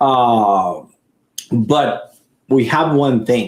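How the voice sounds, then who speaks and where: A man with a Puerto Rican accent, medium pitch and ordinary pitch variation. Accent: Puerto Rican accent, noticeable. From Puerto Rico. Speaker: IT company owner. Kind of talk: podcast interview. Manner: halting, many repetitions.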